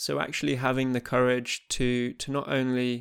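The recording is very clean and the background silent. A man talks with an English accent. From England. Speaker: former professional squash player, podcast host. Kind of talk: podcast intro monologue; interview (being interviewed).

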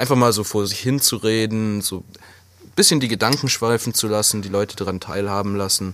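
Fairly quick pacing marks an unremarkable speaking voice. Its intonation is fairly even. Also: man, fairly low pitch for a man. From Swabia, southwestern Germany. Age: 20s. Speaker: podcast co-host, chimney sweep. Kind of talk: casual chat.

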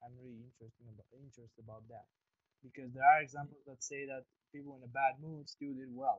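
A man talks very fast at a medium pitch in a flat monotone. His loudness swings widely. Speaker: podcast host. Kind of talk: casual interview conversation. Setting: online call. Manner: friendly, informal.

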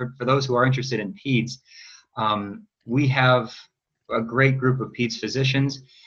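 Speaking fairly quickly, a man with an Upper Midwest accent keeps a medium pitch and fairly even intonation. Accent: Upper Midwest American. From Wisconsin, Eau Claire. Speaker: chief resident physician. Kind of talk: panel presentation.

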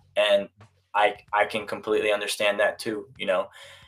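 A man with an American accent at a moderate pace. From US, Korean American family. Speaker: real estate agent. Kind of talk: casual chat. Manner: casual.

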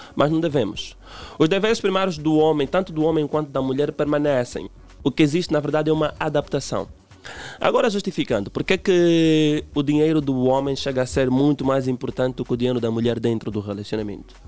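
With music in the background, a man speaks at a fairly quick pace and a fairly high pitch, with ordinary pitch variation. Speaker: relationship commentator. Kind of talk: radio interview.

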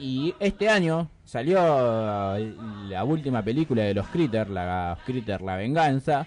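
The pace is very slow, with hardly any pauses. Pitch swings are very wide. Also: man, medium pitch for a man. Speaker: radio host. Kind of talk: casual radio chat.

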